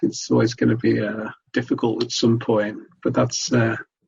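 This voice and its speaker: A man with a Manchester accent speaks at a fairly quick pace. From Sale, South Greater Manchester, England. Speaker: hiker with epilepsy. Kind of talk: interview. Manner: halting.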